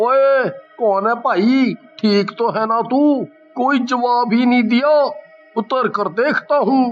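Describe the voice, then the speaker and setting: With faint music in the background, a man does a cartoonish character voice at an extremely high pitch and a fairly slow pace. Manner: stammers when frightened.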